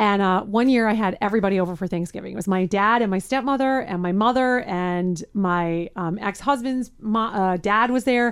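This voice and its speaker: A woman's medium-pitched, ordinary speaking voice with ordinary pitch variation, in a very clean recording with a silent background. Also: moderate pace, hardly any pauses. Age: 40s. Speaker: radio host. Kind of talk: casual chat.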